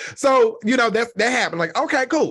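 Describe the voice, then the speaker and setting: Over a quiet background, the speaker uses a raised, projected voice with a bright, sharp, animated tone and lively intonation. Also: man. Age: 40s. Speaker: podcast host. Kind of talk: casual chat. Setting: video call.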